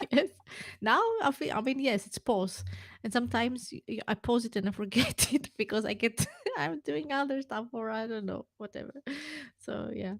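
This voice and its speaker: A woman with a non-native accent speaks at a moderate pace in a fairly high pitch with lively intonation and big swings in loudness. The sound is dry and close with no echo. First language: not English. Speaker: podcast co-host. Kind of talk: casual chat. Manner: halting.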